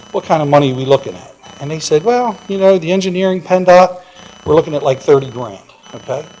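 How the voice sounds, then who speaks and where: A man with lively intonation amid noticeable background noise. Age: 60s. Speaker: property owner at public comment. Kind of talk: public comment at a township meeting. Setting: township board meeting. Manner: halting, with repeated fillers.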